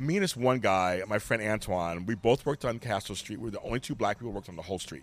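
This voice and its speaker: Lively intonation from a man at a medium pitch and a very fast pace, on a very clean recording with a silent background. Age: 50s. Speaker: podcaster and life coach. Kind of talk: casual chat. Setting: in person.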